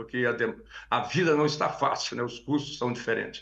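A man speaks at a medium pitch in a bright, sharp tone. The background is quiet. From Brazil, Minas Gerais (Carmo do Paranaíba); Minas Gerais, Brazil. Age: 70s. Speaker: cattle rancher. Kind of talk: interview. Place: home room. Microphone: video call.

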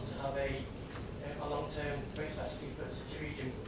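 Loud background noise and audible room echo fill the clip. Over them, a man talks at a very fast pace. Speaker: officer presenting a report. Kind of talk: formal committee report presentation. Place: meeting room.

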